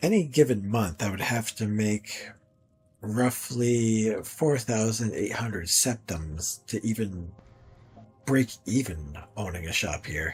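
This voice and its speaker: A man's raspy put-on character voice at medium pitch, lively in intonation and fairly slow, over faint music in the background. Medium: game stream. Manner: polite, hesitant, stammering.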